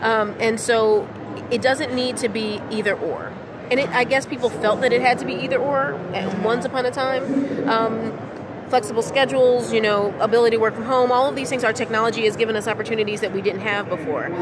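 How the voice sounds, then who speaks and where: Over noticeable background noise and audible room echo, a woman speaks in a fairly high pitch. She moves at a fairly quick pace with ordinary pitch variation. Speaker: water industry professional and moderator. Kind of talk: interview. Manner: loud and boisterous; halting with repetitions.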